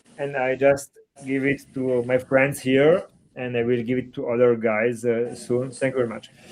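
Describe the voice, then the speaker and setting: A monotone, flat delivery at a moderate pace. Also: man, medium pitch for a man. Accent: Italian. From Italy. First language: Italian. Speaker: comic book artist. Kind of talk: casual chat. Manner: halting.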